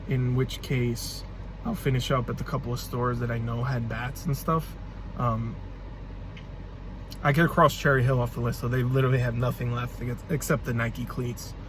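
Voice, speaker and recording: A man at a moderate pace with long, frequent pauses, in audible room echo. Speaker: reseller YouTuber. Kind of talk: casual vlog. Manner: stuttering, halting.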